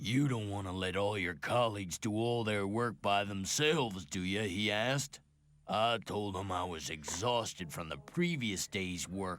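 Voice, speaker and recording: Putting on a character voice, a man speaks at a moderate pace in a rumbling, fairly low pitch with ordinary pitch variation. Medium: video game. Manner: grumbling, resentful.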